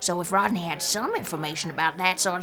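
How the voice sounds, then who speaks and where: A put-on character voice moves at a moderate pace. Clear background noise sits behind it. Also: female-sounding voice. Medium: audio drama. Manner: rambling, musing.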